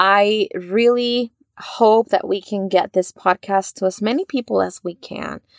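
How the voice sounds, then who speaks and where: In a Spanish accent, a woman talks at a fairly slow pace with fairly even intonation, and the sound is dry and close with no echo. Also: medium pitch for a woman. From Mexico. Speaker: psychotherapist and podcast host. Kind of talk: faith-based podcast monologue.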